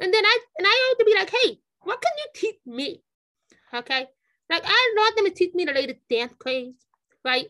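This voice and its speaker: A woman with an extremely high pitch and a bright, sharp tone projects her raised voice, swinging her pitch very widely. She moves at a moderate pace with long, frequent pauses. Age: 30s. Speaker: high school football and track coach. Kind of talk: podcast interview. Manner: halting, many fillers and repetitions.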